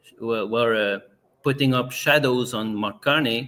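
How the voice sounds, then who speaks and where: A man speaks with a Quebec accent. His intonation stays fairly even. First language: French. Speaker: political party member, interview guest. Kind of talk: podcast interview. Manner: halting, many repetitions.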